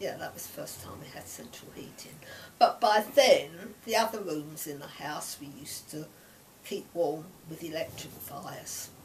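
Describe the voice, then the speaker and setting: Whispering in an East London accent, a woman speaks at a moderate pace with big swings in loudness. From East London, Stepney. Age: 80s. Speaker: grandparent sharing memories. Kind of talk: oral history interview.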